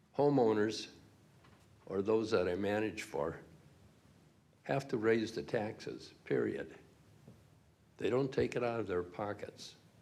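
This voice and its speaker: This man speaks at a fairly slow pace with long, frequent pauses, his fairly low voice showing vocal fry and ordinary pitch variation. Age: 80s+. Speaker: property manager speaking at public comment. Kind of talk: public comment at a hearing. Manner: halting.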